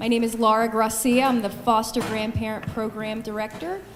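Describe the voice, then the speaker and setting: Noticeable background noise and audible room echo surround a woman speaking in a fairly high pitch. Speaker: volunteer program director. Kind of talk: panel introduction.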